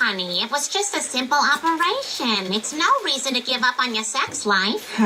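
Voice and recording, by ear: A female-sounding cartoonish character voice speaks at a moderate pace with a high pitch. Clear background noise runs behind it.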